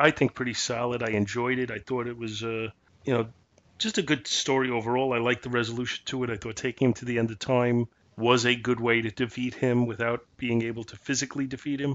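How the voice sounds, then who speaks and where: A man talks at a fairly quick pace with fairly even intonation in a plain, everyday voice. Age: 50s. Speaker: comic book podcast co-host. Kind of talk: casual chat.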